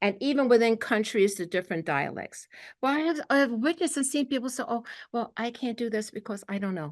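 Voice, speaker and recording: A woman with a Brooklyn accent, fairly high pitch, lively intonation and a fairly quick pace, over a quiet background. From New York, Brooklyn. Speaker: spiritual teacher. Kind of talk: spiritual talk to a group. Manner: animated.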